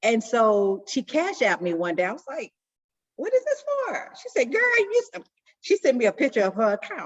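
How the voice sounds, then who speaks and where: At a moderate pace, a woman with a high pitch and an animated tone makes very wide pitch swings and big swings in loudness. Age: 60s. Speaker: support circle member. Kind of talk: group sharing, casual.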